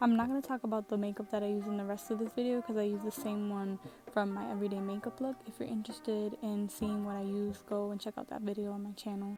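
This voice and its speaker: A soft-spoken woman talks at a very fast pace with hardly any pauses, using a medium pitch and ordinary pitch variation. Noticeable background noise runs under her voice. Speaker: beauty vlogger. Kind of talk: makeup tutorial voiceover. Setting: home at night.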